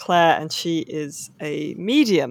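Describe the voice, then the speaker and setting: The recording is very clean, with a silent background. A woman speaks at a very deep, low pitch with ordinary pitch variation. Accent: English. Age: 30s. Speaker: novelist and video games journalist. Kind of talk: casual interview chat.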